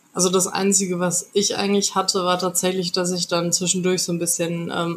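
A woman at medium pitch talks at a fairly quick pace with hardly any pauses and monotone, flat intonation over noticeable background noise. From North Rhine-Westphalia, Germany. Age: 20s. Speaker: podcast guest sharing personal experience. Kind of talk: interview, personal testimony. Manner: hesitant with many fillers.

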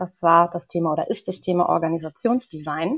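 A normal speaking voice moves at a moderate pace with ordinary pitch variation against a quiet background. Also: woman. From northern Germany, Lower Saxony village. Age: 20s. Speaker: organisational psychologist. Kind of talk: podcast interview.

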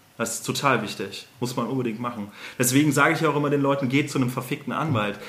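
Audible room echo and noticeable background noise behind a man's fairly high-pitched voice. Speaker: lawyer. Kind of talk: casual chat.

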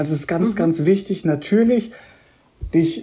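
A dark, mellow, somewhat breathy voice at a moderate pace, with ordinary pitch variation. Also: woman. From Koblenz, Rhineland, Germany. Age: 30s. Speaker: hotel general manager. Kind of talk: interview.

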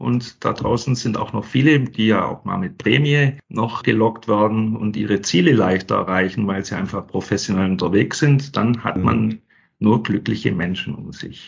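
A man with a fairly low pitch and some vocal fry talks with hardly any pauses, his pitch rising and falling in an ordinary way. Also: moderate pace. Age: 50s. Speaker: sales training manager. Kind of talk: interview.

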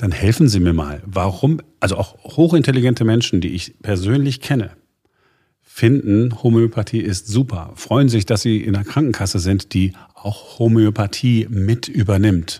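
A man talks at a fairly low pitch with ordinary pitch variation. His tone is dark, mellow and somewhat breathy. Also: moderate pace. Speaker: podcast host. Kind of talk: news podcast.

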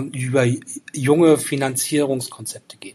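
The man's pitch sits in the medium range, and his intonation stays monotone and flat. He talks at a moderate pace. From northern Germany, Rostock. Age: 40s. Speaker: engineer, property developer. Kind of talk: interview. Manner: hesitant, many fillers.

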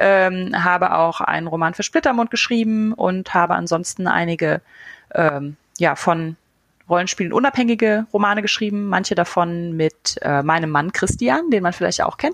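A woman speaks in a normal speaking voice at a moderate pace, her medium pitch moving with lively intonation. Her loudness stays very even, and the sound is dry and close with no echo. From western Germany, Eifel. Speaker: podcast host and author. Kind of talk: casual chat.

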